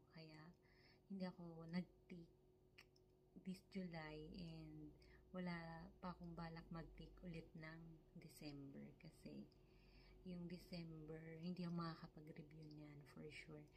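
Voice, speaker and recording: Soft-spoken, a woman talks with long, frequent pauses, with audible room echo and noticeable background noise. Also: fairly slow pace. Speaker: vlogger, caregiver in Japan. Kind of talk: casual vlog. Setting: at home, close to camera. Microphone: close to camera, quiet.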